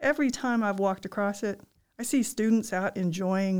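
A woman speaks in a Southern US accent at a medium pitch with ordinary pitch variation. The recording is very clean, with a silent background. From Arkansas, Ozark foothills. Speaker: university provost. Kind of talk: interview.

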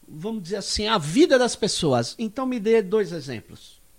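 Very wide pitch swings on a very clean recording with a silent background. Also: man. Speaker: podcast host, sociologist. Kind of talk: panel discussion.

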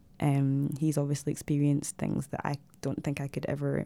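A woman's very deep, dark, mellow voice in a Glaswegian accent, at a fairly quick pace, in a very clean recording with a silent background. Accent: Glaswegian Scottish. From Scotland, Glasgow. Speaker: visual artist and photographer. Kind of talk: casual interview. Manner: hesitant, many fillers.

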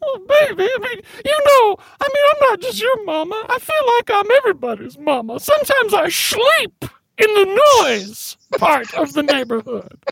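A woman speaks at an extremely high pitch with very wide swings. Her pace is moderate. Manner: rambling, homely, warm.

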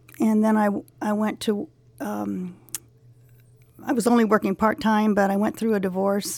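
With a Californian accent, a woman of medium pitch talks at a moderate pace with ordinary pitch variation and long, frequent pauses. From Los Angeles, San Fernando Valley. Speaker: school alumna, retiree. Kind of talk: interview.

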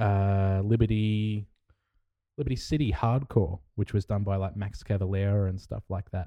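In an Australian accent, a man speaks at a fairly low pitch with fairly even intonation and a dark, mellow tone, the sound dry and close with no echo over a quiet background. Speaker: podcast co-host. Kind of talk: casual chat.

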